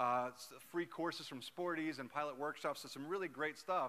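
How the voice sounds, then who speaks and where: A bright, sharp tone at a fairly quick pace with ordinary pitch variation. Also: man. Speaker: aviation association staff presenting awards. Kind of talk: award ceremony presentation. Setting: stage with audience. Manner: animated. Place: hall.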